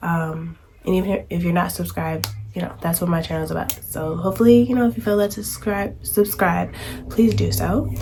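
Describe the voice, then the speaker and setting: Music plays in the background as a woman speaks in a relaxed tone, with audible room echo. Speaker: homemaking vlogger. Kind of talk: casual vlog talk. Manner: filler-heavy, relaxed.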